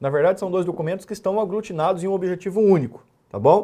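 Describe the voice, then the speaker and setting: This man has a high pitch and a dark, mellow tone, with ordinary pitch variation. He talks fairly quickly on a very clean recording with a silent background. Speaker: law exam-prep teacher. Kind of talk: lecture. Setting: recorded classroom with whiteboard.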